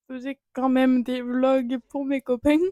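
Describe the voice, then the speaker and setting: Recorded dry and close with no echo, a woman's high-pitched voice carries a dark, mellow tone. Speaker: youtuber. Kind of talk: casual podcast-style monologue. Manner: animated.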